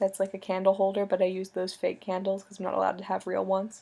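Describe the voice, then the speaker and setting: A woman speaks quietly. Her tone is dark and mellow. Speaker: video blogger. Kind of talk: casual video message to a friend. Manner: loud talker; trying to stay quiet.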